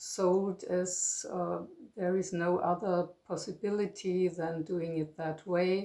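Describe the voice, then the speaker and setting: A woman with a German accent talks very slowly, her pitch medium. Her tone is dark and mellow, and her intonation stays monotone and flat. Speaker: retired psychotherapist. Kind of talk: personal monologue. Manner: halting, many fillers.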